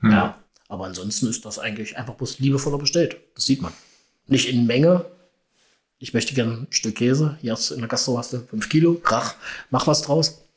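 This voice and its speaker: Somewhat breathy and at medium pitch, a man speaks at a fairly quick pace with lively intonation, big swings in loudness and long, frequent pauses. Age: 50s. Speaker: purchasing and housekeeping manager. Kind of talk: casual interview.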